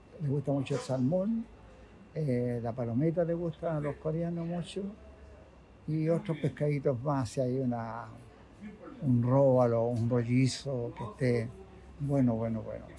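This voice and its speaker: Fairly high-pitched male voice, somewhat breathy, with a dark, mellow tone at a fairly slow pace. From Chile, Valparaíso (Playa Ancha). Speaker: fishmonger. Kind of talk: casual interview. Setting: market stall at workplace.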